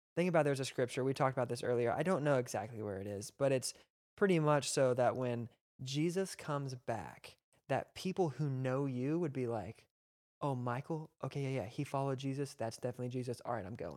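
Here a man has an unremarkable speaking voice at medium pitch. He moves at a fairly quick pace with ordinary pitch variation. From Texas. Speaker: youth pastor. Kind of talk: casual chat. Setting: church.

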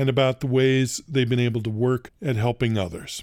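The man's voice has a medium pitch and a dark, mellow tone. His recording is very clean, with a silent background. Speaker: podcast host. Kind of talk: scripted narration.

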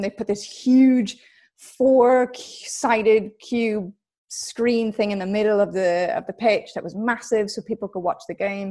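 A woman with an American accent and a normal speaking voice talks at a moderate pace with fairly even intonation. The recording is very clean, with a silent background. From US West Coast, Los Angeles. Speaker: football TV presenter. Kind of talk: interview.

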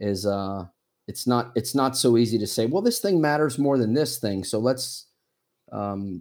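With a plain, everyday voice, a man speaks at a moderate pace, medium in pitch, with ordinary pitch variation. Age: 40s. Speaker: missionary. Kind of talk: casual chat. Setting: video call.

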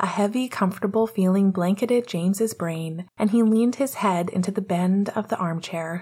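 Pitch variation here is ordinary. It is a natural reading voice.

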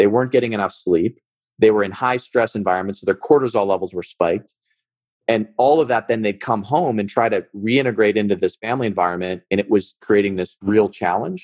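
A man with a Midwestern American accent talks at a fairly quick pace and a fairly low pitch, with ordinary pitch variation and a dry, close sound with no echo. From US Midwest, suburbs of Cleveland, Ohio. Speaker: startup founder and former military officer. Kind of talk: interview conversation.

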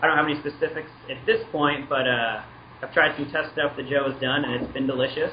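A man with an American accent talks at a fairly quick pace in a monotone, flat intonation. Noticeable background noise is present. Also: fairly high pitch for a man. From Washington State. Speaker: brand manager. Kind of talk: interview over a phone call.

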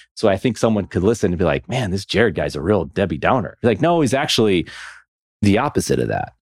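Fast-talking and fairly low-pitched, a man speaks very quickly with vocal fry. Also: very clean recording, silent background. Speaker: podcast host. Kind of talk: casual chat. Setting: studio.

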